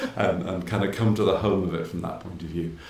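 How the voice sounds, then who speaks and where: A man with an Irish accent is heard with audible room echo and noticeable background noise. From Ireland. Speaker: innovation executive in paper industry. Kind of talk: interview.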